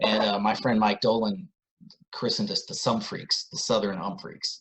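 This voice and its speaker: The voice is a man's, a plain, everyday voice. He keeps a moderate pace. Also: fairly low pitch for a man, ordinary pitch variation. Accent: American. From US South (Atlanta). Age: 40s. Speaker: musician and author. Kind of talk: casual interview.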